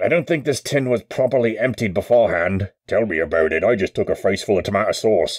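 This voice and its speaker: Doing a put-on character voice, a man of medium pitch talks at a very fast pace. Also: hardly any pauses. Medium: voice reel. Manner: frantic, shouting.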